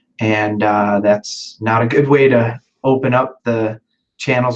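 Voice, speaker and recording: Speaking in an ordinary speaking voice, a man keeps a medium pitch and fairly even intonation. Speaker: sales agent. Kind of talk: casual explanation.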